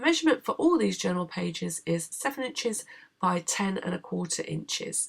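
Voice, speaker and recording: Her pace fairly quick, a woman talks with a British accent. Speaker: craft tutorial maker. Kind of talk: tutorial.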